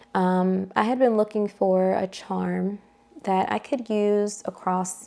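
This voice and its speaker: A woman takes a fairly slow pace while noticeable background noise runs underneath. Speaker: handbag reviewer. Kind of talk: casual product review. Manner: casual with fillers.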